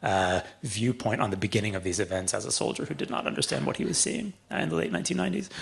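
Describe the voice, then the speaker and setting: A man with a Canadian accent talks with vocal fry. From Canada, Toronto. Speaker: author and former journalist. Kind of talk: public talk.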